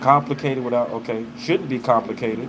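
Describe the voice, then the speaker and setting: With noticeable background noise behind him, a man with an American accent talks at a fairly quick pace in an animated tone. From US South, Arkansas. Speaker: live streamer. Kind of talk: casual chat. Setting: livestream.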